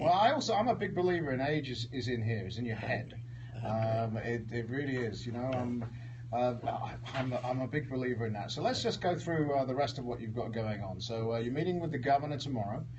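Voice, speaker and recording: The pace is fairly quick, with ordinary pitch variation. Noticeable background noise runs underneath. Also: man, medium pitch for a man. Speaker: radio host. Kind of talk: radio interview questions.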